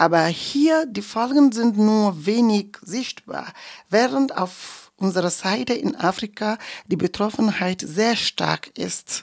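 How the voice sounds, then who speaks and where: Speaking very slowly with lively intonation, a woman comes through in a dry, close sound with no echo. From Togo, grew up in Kanté. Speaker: radio journalist. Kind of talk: interview statement.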